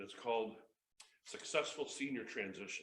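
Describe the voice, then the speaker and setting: The speaker has an Upper Midwest accent, and the room echo is audible. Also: man. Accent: Upper Midwest American. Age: 50s. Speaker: motivational speaker and comedian. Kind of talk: motivational talk. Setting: stage with audience. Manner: fast; animated.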